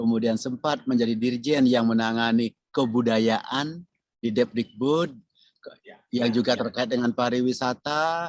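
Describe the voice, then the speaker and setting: A man with a normal speaking voice and medium pitch talks at a fairly slow pace with fairly even intonation and very even loudness, in a dry, close sound with no echo. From Bali. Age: 60s. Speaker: tourism professor, retired government official. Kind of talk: podcast interview.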